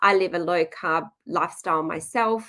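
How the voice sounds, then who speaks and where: A woman speaks in an Australian accent at medium pitch. Her pitch variation is ordinary. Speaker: nutritionist. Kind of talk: webinar presentation. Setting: live webinar video call.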